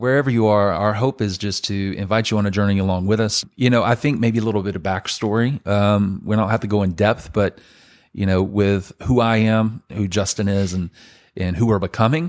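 A fairly low-pitched man with a Southern US accent, fairly even intonation and a fairly quick pace, on a very clean recording with a silent background. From Birmingham, Alabama. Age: 40s. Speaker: pastor and podcast co-host. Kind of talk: casual chat. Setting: home living room.

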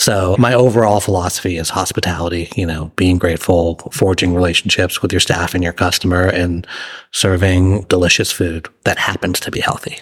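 A man with a very deep, low voice and an American accent, fairly quick pace and fairly even intonation. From Massachusetts. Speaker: chef and restaurant owner. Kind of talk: interview.

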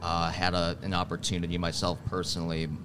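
With an American accent, a man talks in a very deep, low pitch and a monotone, flat intonation, and audible room echo surrounds his voice. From Wisconsin, Milwaukee. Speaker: HR coach. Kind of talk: interview. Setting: live at a conference.

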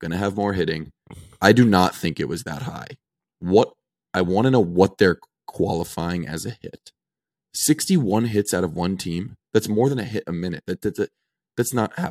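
Here a man has a plain, everyday voice, fairly low in pitch with ordinary pitch variation. He keeps a moderate pace, and the sound is dry and close with no echo. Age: 20s. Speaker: hockey podcast co-host. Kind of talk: casual chat.

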